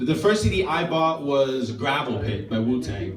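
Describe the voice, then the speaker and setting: At a moderate pace, a man speaks with very wide pitch swings. Audible room echo and noticeable background noise surround his voice. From Netherlands. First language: Dutch. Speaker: comedian. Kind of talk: stand-up. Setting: stage with audience. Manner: animated.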